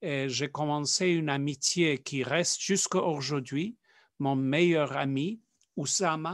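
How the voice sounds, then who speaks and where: A man with a non-native accent, fairly high in pitch, at a very slow pace with ordinary pitch variation, over a quiet background. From South Africa. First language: not French (speaking French). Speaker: Jesuit priest. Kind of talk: interview. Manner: halting, with many fillers.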